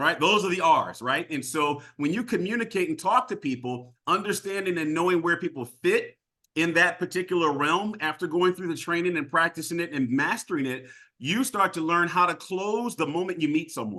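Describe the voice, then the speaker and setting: A man speaks loudly in an animated, bright, sharp tone at a high pitch with ordinary pitch variation. His pace is moderate, and the background is quiet. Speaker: sales trainer. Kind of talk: training session.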